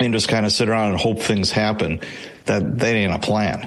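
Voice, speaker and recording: With noticeable background noise and audible room echo, a man speaks at a fairly low pitch. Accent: American. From Chicago, US Midwest. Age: 60s. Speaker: retired police sergeant and author. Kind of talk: interview. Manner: casual, conversational.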